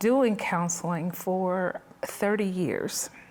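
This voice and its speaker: Against noticeable background noise, a woman speaks very slowly at medium pitch with ordinary pitch variation. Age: 60s. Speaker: mental health counselor. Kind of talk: testimony.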